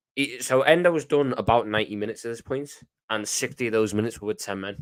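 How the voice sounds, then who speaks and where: Speaking with a Scouse accent, a man goes at a very fast pace. His pitch is medium, with ordinary pitch variation. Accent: Scouse (Liverpool English). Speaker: football fan commentator. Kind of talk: casual livestream chat reading comments. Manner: animated.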